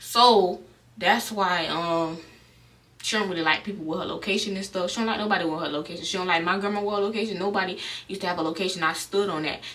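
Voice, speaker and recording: Over noticeable background noise and audible room echo, a woman with an American accent talks at a very fast pace and medium pitch with fairly even intonation. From South Florida, Broward County. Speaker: vlogger. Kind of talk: storytime vlog. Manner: casual, with stutters and fillers.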